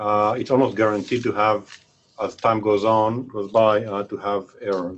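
A man speaks at a moderate pace in an unremarkable speaking voice, fairly low in pitch. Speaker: researcher. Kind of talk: Q&A question. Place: meeting room.

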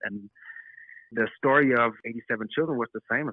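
A man speaks with a German accent. His pitch is medium and his pace moderate. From southern Austria. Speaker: actor. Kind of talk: interview. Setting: phone call from hotel room.

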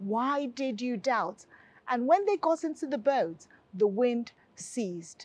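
Recorded in a dry sound with no echo, a woman speaks at a fairly slow pace. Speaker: pastor presenting a health. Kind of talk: sermon. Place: studio. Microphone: lapel.

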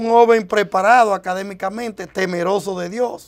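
The background is quiet. A man talks at a fairly slow pace. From Dominican Republic, Santo Domingo; Dominican Republic. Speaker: presidential hopeful politician. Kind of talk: TV interview. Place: studio. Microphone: lapel.

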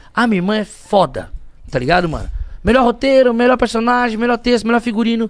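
The background stays quiet. A man talks very fast over it. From Brazil, poor urban outskirts. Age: 30s. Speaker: guest. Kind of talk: casual interview, personal testimony. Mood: emotional, earnest storytelling. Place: studio. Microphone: studio mic.

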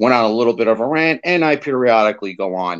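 A man with an American accent at a moderate pace, ordinary pitch variation, and a quiet background. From New Jersey, Fort Lee. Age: 50s. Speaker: small business consultant and podcast host. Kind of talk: casual political interview. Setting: live video stream. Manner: animated. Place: home room. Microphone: video call.

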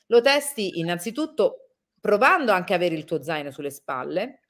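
Against a quiet background, the voice moves at a moderate pace with very wide pitch swings. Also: woman. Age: 40s. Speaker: travel reporter and radio-TV presenter; travel reporter, radio TV presenter. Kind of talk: interview. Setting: live video stream. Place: home room.

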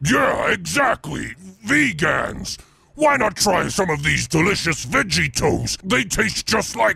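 A put-on character voice comes through raspy, with a theatrical tone. The pace is fairly slow. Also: man, high pitch for a man. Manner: theatrical, bombastic.

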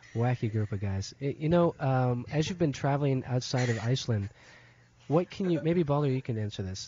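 A man with a somewhat breathy voice talks over noticeable background noise, the sound dry with no echo. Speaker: radio show host. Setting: radio studio. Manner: relaxed. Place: studio.

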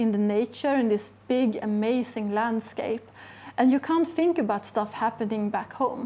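A woman's dark, mellow tone comes through at a moderate pace. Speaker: guest. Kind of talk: interview answer. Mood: warm, enthusiastic. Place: shop. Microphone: lapel.

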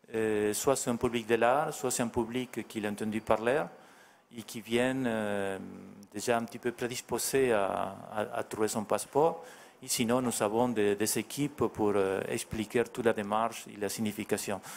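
There is light background noise as a man speaks at a fairly slow pace. He has a Spanish accent and fairly even intonation. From Argentina. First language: Spanish (speaking French). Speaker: artist; guest. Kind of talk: interview. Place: hall. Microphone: handheld.

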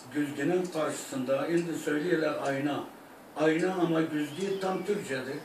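Pitched fairly high, a man talks at a fairly slow pace with fairly even intonation. Room echo is audible, along with light background noise. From Iraq (Turkmen). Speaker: singer. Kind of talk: interview answer. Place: home room. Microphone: camera far.

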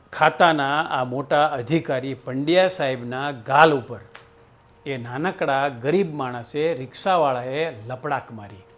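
A man with a normal speaking voice talks at a fairly high pitch with ordinary pitch variation. His loudness swings widely. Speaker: storyteller. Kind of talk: storytelling narration.

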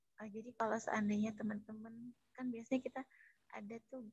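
Somewhat breathy and very fast, the voice holds a monotone, flat intonation, with a dry sound with no echo and a quiet background. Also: woman. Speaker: student moderator. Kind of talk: class presentation. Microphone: too quiet at first; video call.

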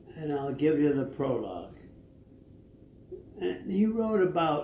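A man speaks with a fairly high pitch and very wide swings in it. Light background noise and audible room echo surround his voice. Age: 80s+. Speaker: elderly man reciting poetry. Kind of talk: casual talk about a poet. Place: home room.

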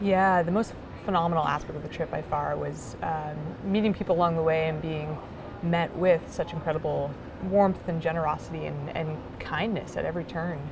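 Music plays in the background as a woman talks at a fairly quick pace. Her pitch is fairly low and her intonation fairly even. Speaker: interviewee. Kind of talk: interview answer. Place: hall.

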